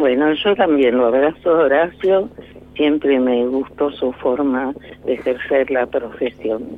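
A woman with a very deep, low pitch speaks at a very slow pace and very even loudness. Noticeable background noise is present. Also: ordinary pitch variation. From Argentina (born in Tucumán, raised mainly elsewhere). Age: 90s. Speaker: lawyer and professor, human rights activist. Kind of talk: radio interview.

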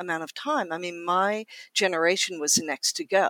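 The speech moves at a moderate pace. The background is silent and the recording very clean. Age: 50s. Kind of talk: casual chat.

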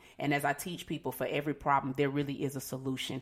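This woman has a very deep, low pitch. She talks at a very fast pace. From Atlanta, US South. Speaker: divorce coach. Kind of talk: casual interview.

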